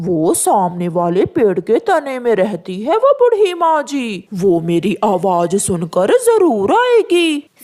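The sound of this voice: A cartoonish character voice, fairly high in pitch, at a fairly slow pace.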